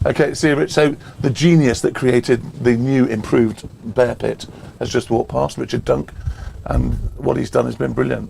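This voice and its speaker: A man speaks at a moderate pace with long, frequent pauses. Background noise is noticeable. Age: 60s. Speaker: cricket commentator. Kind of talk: casual live commentary.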